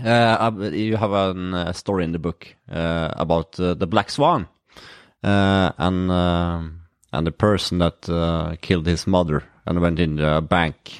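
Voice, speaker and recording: Speaking in a Norwegian accent, a man talks at a fairly slow pace with a very deep, low pitch and fairly even intonation. The sound is dry and close with no echo, over a quiet background. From Norway. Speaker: podcast host, mental trainer. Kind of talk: casual interview.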